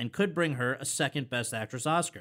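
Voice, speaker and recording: A man with a plain, everyday voice and an American accent talks at a fairly quick pace with lively intonation on a very clean recording with a silent background. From Connecticut. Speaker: podcast host. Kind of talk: interview; scripted intro.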